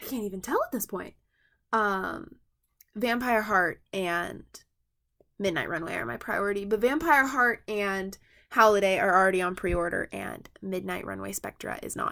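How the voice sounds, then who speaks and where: A woman with an American accent speaks at moderate pace and medium pitch in a bright, sharp tone, her loudness swinging widely. The recording is very clean with a silent background. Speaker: toy collector YouTuber. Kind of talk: product review. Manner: casual, rambling with fillers.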